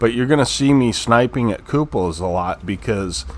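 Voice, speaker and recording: With lively intonation and a moderate pace, a man talks through noticeable background noise. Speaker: gaming youtuber. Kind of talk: gameplay commentary. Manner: halting; casual.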